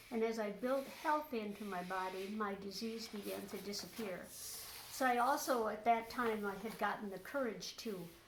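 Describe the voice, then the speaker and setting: Over noticeable background noise and audible room echo, a woman with a fairly high pitch talks at a moderate pace with ordinary pitch variation. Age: 70s. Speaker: interviewee sharing health recovery story. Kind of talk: interview testimony. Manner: halting, many fillers.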